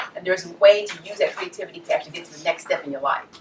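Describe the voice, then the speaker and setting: Over noticeable background noise, a woman talks in a medium pitch. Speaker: public speaker. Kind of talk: motivational talk.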